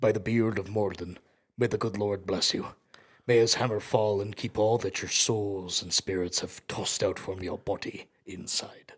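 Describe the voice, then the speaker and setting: Putting on a character voice, a man talks at a fairly low pitch. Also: moderate pace. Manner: gruff, blessing-like.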